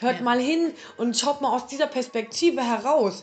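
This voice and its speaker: Noticeable background noise sits under a woman speaking at a high pitch. She talks at a fairly quick pace with ordinary pitch variation. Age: 40s. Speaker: podcast host. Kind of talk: casual chat.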